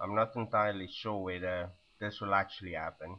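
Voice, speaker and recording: A man with a fairly low pitch. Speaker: video blogger. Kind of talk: webcam monologue. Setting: sitting at webcam.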